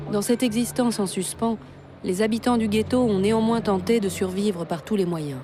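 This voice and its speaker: A woman talks in an unremarkable speaking voice at a medium pitch, with ordinary pitch variation. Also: moderate pace. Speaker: documentary narrator (voice-over). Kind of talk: documentary narration. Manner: serious, measured.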